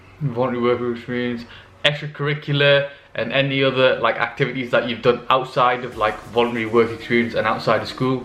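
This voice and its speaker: A man speaks at a medium pitch in a monotone, flat way. His voice has audible room echo. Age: 20s. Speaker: medical student youtuber. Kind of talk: Q&A advice vlog. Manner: casual, many fillers.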